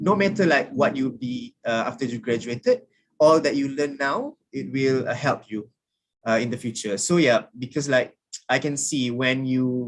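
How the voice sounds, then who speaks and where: In a Malaysian accent, a man speaks at medium pitch. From Malaysia, rural kampung background. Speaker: alumni speaker, recent graduate. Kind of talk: sharing session talk to students. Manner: halting, many fillers.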